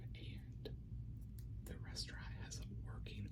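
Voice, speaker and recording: Noticeable background noise runs under a soft-spoken, whispering voice. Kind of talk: whispered ASMR talk to camera. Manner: soft-spoken, whispered.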